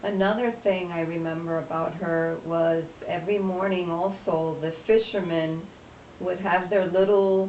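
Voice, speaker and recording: Fairly slow, monotone, flat delivery over noticeable background noise. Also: woman, fairly low pitch for a woman. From Puerto Rico. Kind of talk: interview answer, personal reminiscence.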